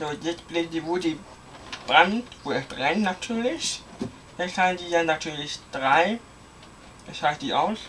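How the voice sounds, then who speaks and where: With light background noise, a man speaks at a fairly slow pace in a high pitch, using ordinary pitch variation and long, frequent pauses. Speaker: hobbyist video maker; hobbyist demonstrating fire alarm panel. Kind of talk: product demonstration. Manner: casual. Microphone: phone near.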